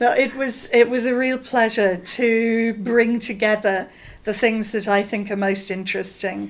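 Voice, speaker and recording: A woman with a fairly high pitch speaks very slowly, her intonation fairly even, and room echo is audible. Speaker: communication researcher. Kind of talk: interview. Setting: conference.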